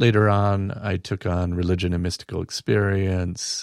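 Speaking in a normal speaking voice, a man keeps a fairly low pitch, fairly even intonation and a moderate pace on a very clean recording with a silent background. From US Midwest, Battle Creek, Michigan; Mexican-American family. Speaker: religious studies teacher. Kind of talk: casual interview. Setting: studio.

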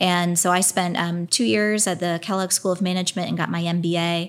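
A normal speaking voice with an American accent moves at a fairly quick pace. The intonation stays fairly even, in a very clean recording with a silent background. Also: woman. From Pennsylvania, US. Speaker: innovation district executive. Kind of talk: casual interview. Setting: studio.

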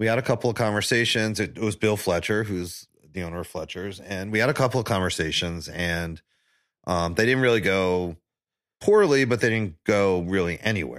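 In a very clean recording with a silent background, a man with an American accent talks at a fairly quick pace in an unremarkable speaking voice, fairly low in pitch with ordinary pitch variation. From New York, Staten Island. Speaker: barbecue pitmaster. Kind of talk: casual chat. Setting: in person at host's place.

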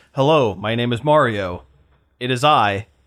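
Here a man performs a put-on character voice. It stays at a medium pitch. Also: moderate pace. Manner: plain mock imitation.

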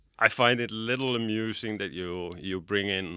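In a very clean recording with a silent background, a man with a Finnish accent speaks in a bright, sharp tone with ordinary pitch variation. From Finland. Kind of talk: podcast interview. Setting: studio.

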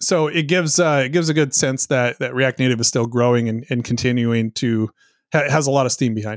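A man with an unremarkable speaking voice at a medium pitch, with ordinary pitch variation and a fairly quick pace, in a dry, close sound with no echo on a very clean recording with a silent background. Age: 40s. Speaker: software company founder. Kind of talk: casual interview.

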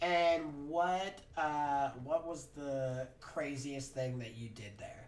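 With hardly any pauses, a man with a fairly high pitch talks at a very slow pace, his loudness swinging widely. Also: ordinary pitch variation. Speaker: podcast host. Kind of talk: casual chat. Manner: animated.

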